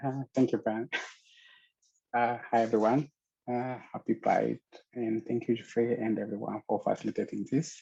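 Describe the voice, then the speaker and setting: A man with an Ethiopian accent speaks at a moderate pace in a medium-pitched, monotone, flat voice with a dark, mellow tone, leaving long, frequent pauses, the sound dry and close with no echo. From Ethiopia, Addis Ababa. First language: Amharic. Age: 30s. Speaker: LGBTQ activist, storyteller. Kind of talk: personal storytelling.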